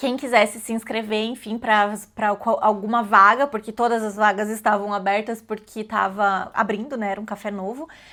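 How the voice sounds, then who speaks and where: Bright and sharp in tone, a woman speaks at a fairly high pitch in flat, monotone intonation with hardly any pauses, on a very clean recording with a silent background. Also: moderate pace. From Brazil. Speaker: vlogger. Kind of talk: casual storytelling vlog. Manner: casual with many fillers and self-corrections.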